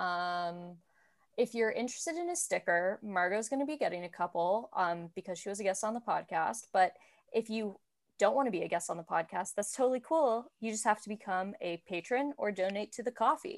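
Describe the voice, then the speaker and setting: A woman with an American accent, fairly high in pitch, fairly quick, and with lively intonation, on a very clean recording with a silent background. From Washington DC area. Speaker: podcast host. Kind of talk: casual chat. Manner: animated.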